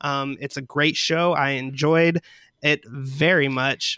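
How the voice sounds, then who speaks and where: A man speaks at a fairly high pitch in a bright, sharp tone with fairly even intonation. The sound is dry and close with no echo, on a very clean recording with a silent background. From West Tennessee. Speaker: editor and consultant. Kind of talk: casual panel discussion.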